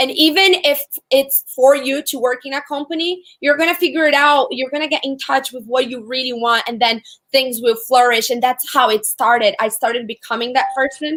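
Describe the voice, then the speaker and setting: A woman's high-pitched voice at a moderate pace. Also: ordinary pitch variation. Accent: Portuguese. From Brazil. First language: Portuguese. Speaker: entrepreneur. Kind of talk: interview.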